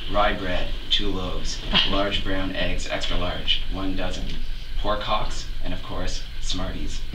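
Noticeable background noise sits under a man who talks very slowly. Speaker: grandchild giving a eulogy. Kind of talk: funeral eulogy, composed and read from a prepared text. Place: church. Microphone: camera far.

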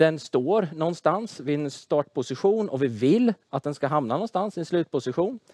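Over a quiet background, a man speaks at a fairly quick pace with very wide pitch swings, the sound dry with no echo. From Sweden, Tranås (Småland); Sweden. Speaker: engineering professor. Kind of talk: lecture; casual interview. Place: studio. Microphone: headset.

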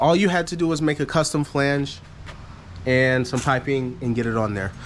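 Moderate-paced speech from a man, with ordinary pitch variation and light background noise. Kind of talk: casual vlog chat. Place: garage. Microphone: phone near.

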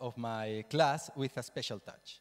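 Speaking fairly slowly with a Spanish accent, a man keeps a medium pitch with ordinary pitch variation.

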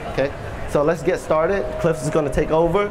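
A man's voice with ordinary pitch variation against noticeable background noise. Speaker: chef giving a demonstration. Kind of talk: live cooking demonstration to an audience. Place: stage.

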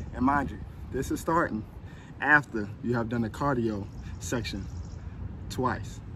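Here a man speaks at a fairly slow pace with ordinary pitch variation. Light background noise sits under a dry sound with no echo. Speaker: fitness trainer. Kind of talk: workout tutorial. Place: street. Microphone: phone near.

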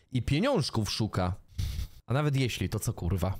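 An animated tone against a quiet background. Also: man. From Poland. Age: 30s. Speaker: streamer. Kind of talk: reaction stream commentary. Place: home room. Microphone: studio mic.

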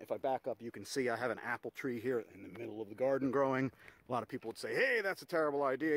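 Very fast delivery with fairly even intonation and a dry, echo-free sound. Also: man. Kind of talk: tutorial. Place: garden. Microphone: phone near.

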